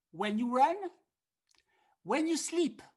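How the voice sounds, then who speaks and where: Her intonation is lively. The woman speaks with a French accent. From France. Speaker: harmonica teacher. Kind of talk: online masterclass. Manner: animated.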